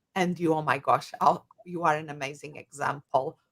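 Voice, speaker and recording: With a strong Portuguese accent, a woman speaks at a moderate pace in a fairly low pitch. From Portugal. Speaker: coach and psychologist. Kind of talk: interview.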